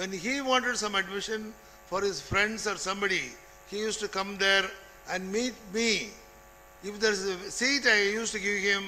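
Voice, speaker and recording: Through audible room echo and noticeable background noise, a man projects a raised, high-pitched voice at a moderate pace with fairly even intonation. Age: 80s+. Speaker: retired college administrator and lecturer. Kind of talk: speech.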